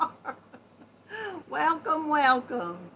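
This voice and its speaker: A woman speaks in a raised, projected voice with very wide pitch swings, noticeable background noise behind her. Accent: Southern US. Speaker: live streamer. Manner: loud.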